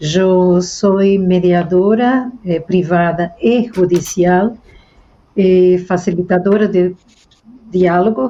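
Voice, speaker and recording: Very slowly, a woman speaks with a dark, mellow tone, very even loudness and fairly even intonation. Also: medium pitch for a woman. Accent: Brazilian. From Brazil, Rio de Janeiro. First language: Portuguese (speaking Spanish). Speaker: mediator and researcher. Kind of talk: panel discussion. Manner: halting.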